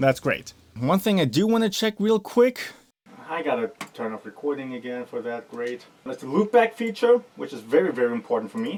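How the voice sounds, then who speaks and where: Over noticeable background noise, a man with a fairly high voice talks at a moderate pace, his pitch swinging very widely and his loudness rising and falling sharply. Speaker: music production youtuber. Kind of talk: gear unboxing tutorial. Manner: loud at start, quieter as video goes on.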